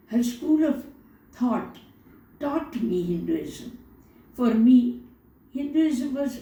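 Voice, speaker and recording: A woman talks at a very slow pace with very wide pitch swings. Audible room echo and noticeable background noise surround her. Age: 70s. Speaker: spiritual teacher and poet. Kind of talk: poetry reading; interview. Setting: at home altar, video recording. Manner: repetitive, measured.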